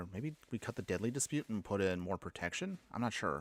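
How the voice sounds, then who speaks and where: In a put-on character voice, a man mumbles at a fairly quick pace with a fairly low pitch, lively intonation and very even loudness, in a dry, close sound with no echo. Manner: mumbling.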